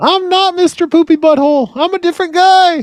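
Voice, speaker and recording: An extremely high-pitched put-on character voice at a fairly quick pace. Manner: silly, cartoonish.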